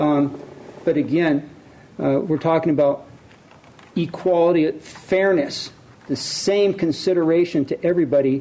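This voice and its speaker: A fairly high-pitched man speaks at a fairly slow pace, with long, frequent pauses and ordinary pitch variation. His loudness stays very even over noticeable background noise. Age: 60s. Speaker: city council member. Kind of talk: council meeting debate. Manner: halting.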